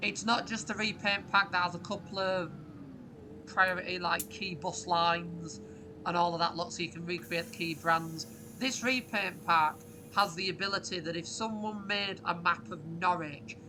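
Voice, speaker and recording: Speaking with a northern English accent, a woman uses lively intonation and a fairly low pitch at a moderate pace. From northern England. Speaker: YouTuber, bus simulator gamer. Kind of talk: gameplay commentary. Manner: casual, frequent fillers.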